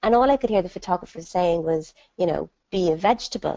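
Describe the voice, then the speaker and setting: A woman's fairly low voice in an Irish accent, at a fairly quick pace with ordinary pitch variation. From Ireland. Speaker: entrepreneur and dyslexia ambassador. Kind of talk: webinar talk. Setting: online webinar. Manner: animated storytelling.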